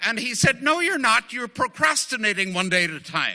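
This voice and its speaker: This voice is raised and projected with a bright, sharp tone. Its intonation is lively. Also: man. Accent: Northern Irish. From Northern Ireland. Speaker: AA speaker, former priest. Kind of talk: recovery testimony talk. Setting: speaking at a group meeting. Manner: halting, many fillers.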